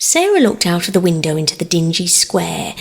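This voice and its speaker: A woman with an English accent at a moderate pace. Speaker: audiobook narrator. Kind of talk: sleep story.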